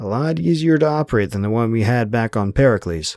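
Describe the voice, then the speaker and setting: A man puts on a strained character voice at a medium pitch and a very fast pace. The recording is very clean with a silent background. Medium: read story.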